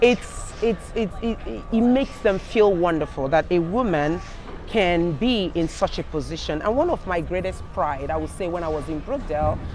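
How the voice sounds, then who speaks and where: Music plays behind a woman with a Nigerian accent whose fairly low voice has lively intonation. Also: moderate pace. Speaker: senior living executive. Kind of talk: panel interview. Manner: halting.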